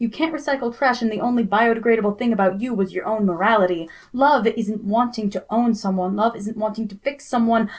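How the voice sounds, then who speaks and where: A woman with a normal speaking voice, fairly high pitch, ordinary pitch variation and a fairly quick pace. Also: hardly any pauses. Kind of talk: spoken word poetry performance.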